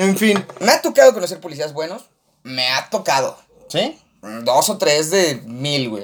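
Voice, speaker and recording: A man's high, animated voice with very wide pitch swings, at a fairly slow pace. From Mexico, Aguascalientes. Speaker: podcast co-host. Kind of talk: casual chat.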